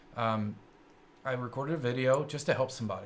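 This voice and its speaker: With a slight Kentucky accent, a man talks at a very fast pace against noticeable background noise. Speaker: tech show host. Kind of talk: live-streamed show chat. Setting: studio. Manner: hesitant with many fillers.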